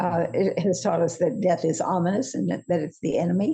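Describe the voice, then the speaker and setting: A woman's fairly low, dark and mellow voice with vocal fry, fairly even intonation and a moderate pace. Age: 80s+. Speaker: course teacher, senior faculty. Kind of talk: casual interview chat. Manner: halting.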